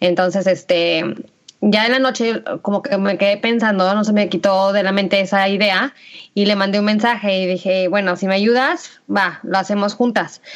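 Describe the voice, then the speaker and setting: With a normal speaking voice, a woman at a medium pitch keeps a moderate pace, very even loudness and fairly even intonation. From Mexico, Aguascalientes. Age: 30s. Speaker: podcast co-host, entrepreneur. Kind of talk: casual chat.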